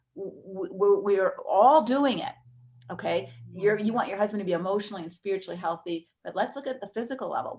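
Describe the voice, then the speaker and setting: An unremarkable speaking voice moves at a fairly quick pace. Its loudness swings widely. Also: woman. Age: 60s. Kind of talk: live webinar teaching. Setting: live stream webinar.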